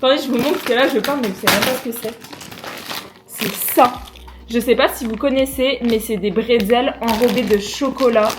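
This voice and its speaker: A high-pitched woman at a moderate pace, fairly even intonation, long and frequent pauses, and noticeable background noise. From France. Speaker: YouTuber. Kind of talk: casual vlog unboxing.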